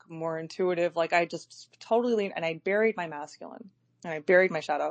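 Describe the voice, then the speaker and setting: A woman with an unremarkable speaking voice talks at a moderate pace in a fairly low pitch. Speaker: live audio chat host. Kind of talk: casual chat.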